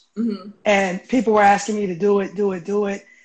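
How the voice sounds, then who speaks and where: There is noticeable background noise behind this man's voice. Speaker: remote guest. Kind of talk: interview answer. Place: home room. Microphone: video call.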